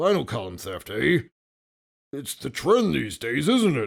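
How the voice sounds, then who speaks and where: At a moderate pace, a man uses a put-on character voice, raspy and medium-pitched, with very wide pitch swings. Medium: read story. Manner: teasing, chuckling.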